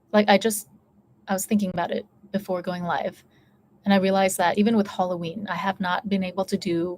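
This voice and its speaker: Someone with an American accent talks at a very fast pace, somewhat breathy, with fairly even intonation. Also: woman. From United States. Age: 30s. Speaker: YouTuber. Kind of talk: casual chat. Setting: live stream.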